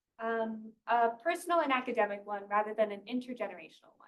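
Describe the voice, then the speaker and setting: A woman's fairly high voice at a moderate pace, with ordinary pitch variation. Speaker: graduate student researcher. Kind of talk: research seminar talk. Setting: seminar room with audience. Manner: soft-spoken.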